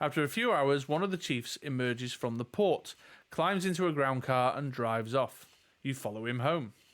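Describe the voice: This is plain reading aloud. Its intonation moves in a lively way.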